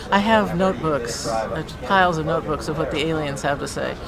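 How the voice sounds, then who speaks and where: A woman talks fairly quickly at a fairly low pitch with lively intonation. Audible room echo and crowd noise fill the background. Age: 70s. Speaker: retiree describing alien contact experiences. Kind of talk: interview testimony. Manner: animated.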